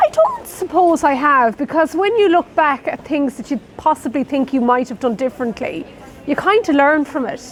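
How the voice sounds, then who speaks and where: Noticeable background noise sits under the voice. The delivery moves at a moderate pace with lively intonation. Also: woman, high pitch for a woman. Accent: Irish Midlands. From Ireland, Roscommon. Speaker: nurse. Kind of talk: interview.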